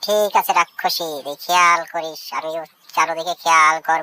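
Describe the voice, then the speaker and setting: A woman's cartoonish character voice, fairly low in pitch. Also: moderate pace. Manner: taunting, bossy.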